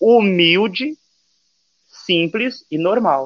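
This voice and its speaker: A man talks with a high pitch. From Brazil, Santo André (São Paulo). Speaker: youtuber. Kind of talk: casual chat.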